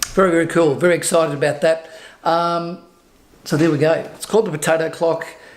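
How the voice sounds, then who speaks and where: A fairly high-pitched man with an Australian accent, very fast and monotone, with flat intonation and very even loudness. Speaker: photographer vlogger; family vlogger. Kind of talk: casual vlog. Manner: soft-spoken. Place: home room. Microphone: phone near.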